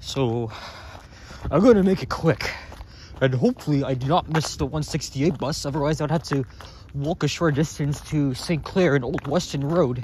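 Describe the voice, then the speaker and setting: A man with a Canadian accent talks at a moderate pace in a normal speaking voice. The sound is dry with no echo, with light background noise. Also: fairly high pitch for a man, ordinary pitch variation. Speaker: vlogger. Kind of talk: vlog narration while walking. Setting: outdoors, walking in cold. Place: street. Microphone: phone near.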